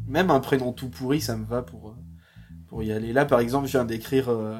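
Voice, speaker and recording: The recording is very clean, with a silent background. A man speaks in an ordinary speaking voice at a medium pitch with lively intonation. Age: 20s. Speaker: audio drama author. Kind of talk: interview.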